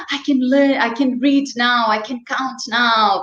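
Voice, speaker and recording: A woman's high-pitched voice with a non-native accent, amid audible room echo. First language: not English. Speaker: children's sports and swimming instructor. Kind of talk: interview. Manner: animated.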